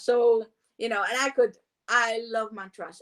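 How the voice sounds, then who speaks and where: At a fairly high pitch, a woman is speaking. Her pace is moderate. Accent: Polish. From Poland. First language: Polish. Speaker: meditation teacher. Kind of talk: casual interview. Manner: halting, many fillers.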